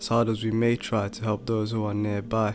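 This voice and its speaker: With music in the background, a man of medium pitch talks at a moderate pace. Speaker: spoken word poet. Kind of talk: spoken word poetry performance.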